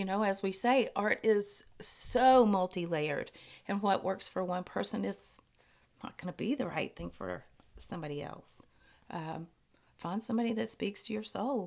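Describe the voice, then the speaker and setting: This woman has an ordinary speaking voice. Her pitch is medium, with ordinary pitch variation. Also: moderate pace. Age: 50s. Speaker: retired art teacher. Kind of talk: casual chat.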